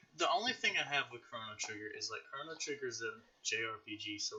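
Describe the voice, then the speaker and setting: In a strong Southern US accent, a man talks at a fairly quick pace. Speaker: podcast host, gaming YouTuber. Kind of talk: casual chat.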